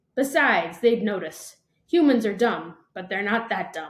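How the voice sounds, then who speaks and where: A woman puts on a character voice with a fairly high pitch. She speaks at a moderate pace. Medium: read story. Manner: wisecracking, cocky.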